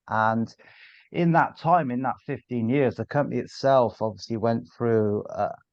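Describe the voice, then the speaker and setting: In a Bristol accent, a man speaks at a moderate pace with a medium pitch and ordinary pitch variation. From Bristol, England. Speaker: sales director. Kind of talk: podcast interview.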